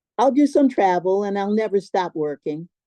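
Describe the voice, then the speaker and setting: This woman's tone is dark and mellow. Her sound is dry and close, with no echo at all. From Baltimore, Maryland. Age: 70s. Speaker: artist. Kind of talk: Q&A at a public talk. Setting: live talk with audience and Zoom viewers.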